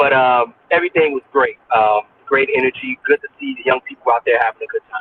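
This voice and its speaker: In a Chicago accent, a man talks at a fairly quick pace with big swings in loudness. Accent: Chicago American. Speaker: music manager and moderator. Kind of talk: casual chat. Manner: hesitant with fillers.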